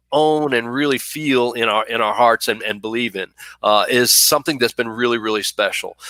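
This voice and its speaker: With a slight Texas accent, a man speaks at a medium pitch with ordinary pitch variation and a bright, sharp tone, in a dry, close sound with no echo. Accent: slight Southern, Texas drawl. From Buffalo, New York. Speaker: university vice president for student affairs. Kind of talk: live-streamed interview. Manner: hesitant, many fillers.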